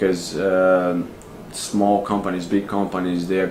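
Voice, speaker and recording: Over noticeable background noise, a man with a very deep, low pitch and a Brazilian accent talks in a monotone, flat way at a moderate pace. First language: Portuguese. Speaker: expat office worker. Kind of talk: interview answer.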